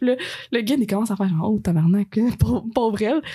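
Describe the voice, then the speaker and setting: At a very fast pace, the speech comes out somewhat breathy. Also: woman. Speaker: friend of the host, travel companion. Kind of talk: casual chat.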